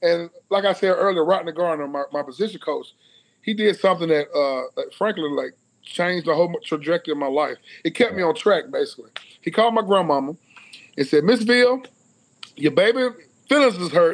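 Speaking at a fairly quick pace in a Southern US accent, a man uses a high pitch and lively intonation, broken by long, frequent pauses. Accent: Southern US (Georgia). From US South (Cedartown, Georgia); Georgia. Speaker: former college football player; guest. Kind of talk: casual interview. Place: home room. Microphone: video call.

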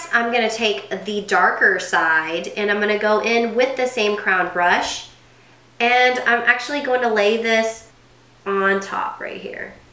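Over noticeable background noise, a woman talks at a fairly slow pace in a fairly high pitch with ordinary pitch variation. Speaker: makeup vlogger. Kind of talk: tutorial. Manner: animated, chatty.

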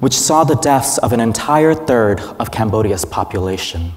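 A man speaks with lively intonation and a slightly mellow tone. His pace is fairly slow.

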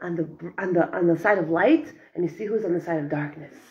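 A woman talks at a moderate pace in a somewhat breathy voice with an American accent. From US, Brooklyn. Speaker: Torah teacher. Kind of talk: lecture. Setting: classroom with students. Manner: animated. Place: classroom.

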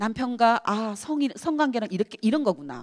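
A woman with a fairly high pitch swings very widely in pitch at a moderate pace, in a dry, close sound with no echo. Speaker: activist. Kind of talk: lecture. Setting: university hall with audience.

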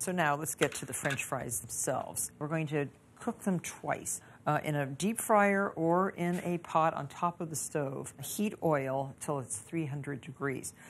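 Her voice very deep and low, a woman speaks at a fairly slow pace with ordinary pitch variation. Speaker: cooking show host. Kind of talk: tutorial. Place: kitchen. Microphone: lapel.

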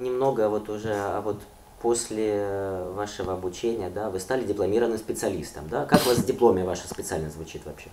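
Fairly quick speech with ordinary pitch variation and noticeable background noise. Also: man, fairly low pitch for a man. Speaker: interviewer. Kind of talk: formal interview questions. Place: home room.

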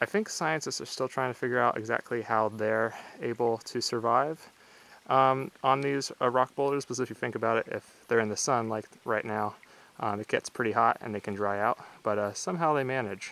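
A man speaks in a bright, sharp tone at a fairly quick pace. His pitch varies in an ordinary way, and the sound is dry with no echo. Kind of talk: casual vlog chat. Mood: excited, relaxed. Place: open country. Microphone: phone near.

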